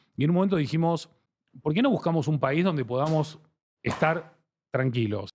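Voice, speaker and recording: Over a quiet background, a man with a strong Argentine accent talks fairly quickly in a fairly high voice with ordinary pitch variation. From Argentina. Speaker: branding expert. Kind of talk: interview.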